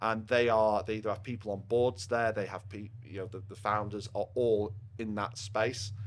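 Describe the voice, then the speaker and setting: In a Yorkshire accent, a man speaks with a fairly low pitch and monotone, flat intonation. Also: moderate pace. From northern England, Rotherham, Yorkshire. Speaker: partnerships manager at a software company. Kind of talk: podcast interview. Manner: loud.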